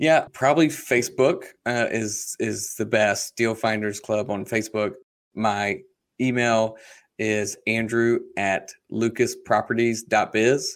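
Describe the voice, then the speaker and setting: A man with an American accent speaks very slowly at a medium pitch with fairly even intonation, on a very clean recording with a silent background. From US South, South Carolina. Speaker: real estate investor. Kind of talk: interview.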